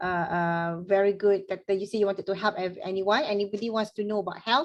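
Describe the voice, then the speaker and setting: Here a woman talks at a very fast pace. Her pitch is medium and her intonation fairly even. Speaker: motivational trainer. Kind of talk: online workshop discussion.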